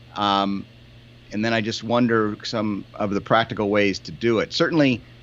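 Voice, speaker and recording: A man with an American accent talks in a fairly low pitch with ordinary pitch variation, a normal speaking voice. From United States. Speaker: podcast co-host. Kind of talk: casual chat.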